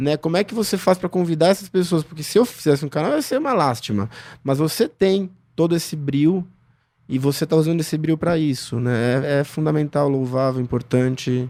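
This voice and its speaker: Dark, mellow tone with ordinary pitch variation, a fairly quick pace, and a very clean recording over a silent background. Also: man, fairly high pitch for a man. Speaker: psychoanalyst. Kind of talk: interview. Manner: soft-spoken.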